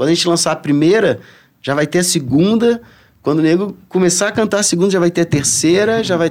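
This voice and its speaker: Very fast and high-pitched, a man talks with ordinary pitch variation and very even loudness. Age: 40s. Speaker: surfer and reggae musician. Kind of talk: casual chat.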